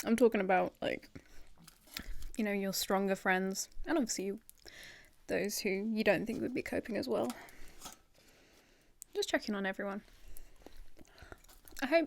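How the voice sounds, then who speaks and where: A soft-spoken woman talks at a moderate pace in a relaxed tone with lively intonation and long, frequent pauses. The recording is very clean, with a silent background. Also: medium pitch for a woman. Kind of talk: asmr ramble to camera. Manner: soft-spoken, relaxed.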